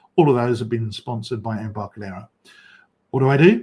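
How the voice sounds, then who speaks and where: This man's voice sits at a medium pitch and is somewhat breathy. His pitch moves in an ordinary way. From England, London. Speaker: software developer and conference host. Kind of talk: conference presentation. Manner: fast.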